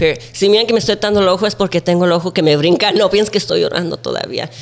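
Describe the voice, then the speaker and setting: A high-pitched man with an American accent and ordinary pitch variation, music playing in the background. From Central Valley, California. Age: 20s. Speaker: TikTok content creator. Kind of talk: casual chat, podcast interview. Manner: casual, playful.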